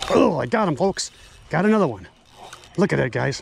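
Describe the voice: Slowly, a man speaks with a slightly husky edge and vocal fry. His pitch swings widely.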